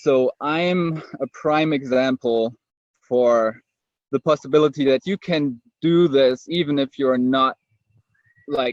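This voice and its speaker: A man with a German accent speaks very slowly at a fairly high pitch, with fairly even intonation and long, frequent pauses. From Germany. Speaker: network marketer. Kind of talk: webinar testimony. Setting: online webinar. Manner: searching for words.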